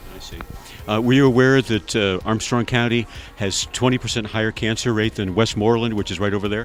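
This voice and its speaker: Over noticeable background noise, a man with an American accent talks at a fairly quick pace and medium pitch with fairly even intonation. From western Pennsylvania. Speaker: documentary interviewer. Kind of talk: street interview. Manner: halting.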